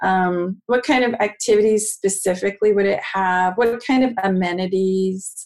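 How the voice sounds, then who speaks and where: A woman's plain, everyday voice at a medium pitch and moderate pace, with fairly even intonation, very even loudness and hardly any pauses. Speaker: co-host, marketing researcher.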